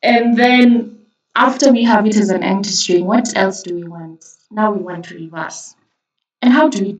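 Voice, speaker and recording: A woman talks at a moderate pace. Her voice sits fairly high, with ordinary pitch variation. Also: big swings in loudness. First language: not English. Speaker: coding tutor. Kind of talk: tutorial. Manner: casual, hesitant with fillers.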